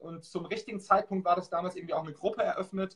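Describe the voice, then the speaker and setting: A man's high-pitched, very fast speech with fairly even intonation. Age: 30s. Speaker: e-commerce entrepreneur and Amazon seller. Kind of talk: interview.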